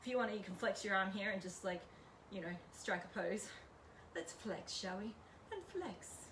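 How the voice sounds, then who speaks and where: A woman with an Australian accent at medium pitch and moderate pace, fairly even intonation, long and frequent pauses, audible room echo, and noticeable background noise. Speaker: home workout leader. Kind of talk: workout instruction. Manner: casual, chatty.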